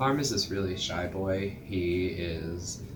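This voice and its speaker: A man with a very deep, low voice speaks over music playing in the background. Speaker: TV show reviewer. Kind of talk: casual talk to camera.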